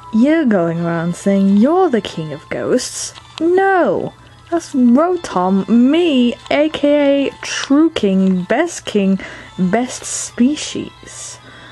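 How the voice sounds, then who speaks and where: In a put-on character voice, the speaker goes at a very slow pace with very wide pitch swings, over clear background noise. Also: female-sounding voice, high pitch for a woman. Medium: dub. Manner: indignant, smug.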